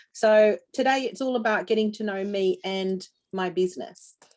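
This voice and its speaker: A woman with an Australian accent, a medium pitch, lively intonation, and a moderate pace. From Australia, New South Wales. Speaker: dog trainer. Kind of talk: business presentation.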